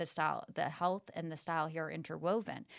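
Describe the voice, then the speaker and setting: Recorded very cleanly against a silent background, a woman with an American accent speaks at a fairly quick pace. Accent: Boston accent dropped. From Boston. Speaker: entrepreneur and former TV host. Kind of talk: casual interview.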